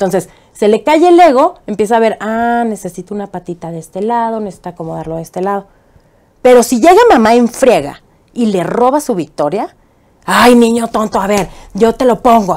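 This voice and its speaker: Against a quiet background, a woman speaks at a moderate pace with a fairly high pitch and lively intonation. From Mexico, Chihuahua. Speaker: political activist and TV presenter; TV presenter. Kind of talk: interview. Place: studio. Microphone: lapel.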